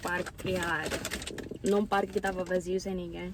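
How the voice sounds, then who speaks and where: Very fast speech over noticeable background noise. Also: woman. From Mozambique. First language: Portuguese. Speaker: YouTuber. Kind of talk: casual chat. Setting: outdoors.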